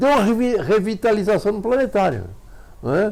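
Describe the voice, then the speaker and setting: A man with a high pitch. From Santa Catarina, Brazil. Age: 90s. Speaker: amateur astronomer. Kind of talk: interview.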